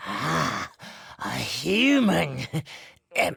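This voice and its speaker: The man's put-on character voice has a raspy edge. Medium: video game. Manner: hesitant, throat-clearing.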